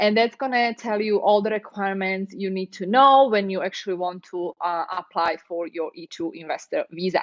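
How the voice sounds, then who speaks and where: A woman of medium pitch speaks with a non-native accent. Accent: foreign. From Europe. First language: non-English European language. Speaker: immigration lawyer. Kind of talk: live stream Q&A and advice talk. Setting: live stream. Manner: conversational, with fillers.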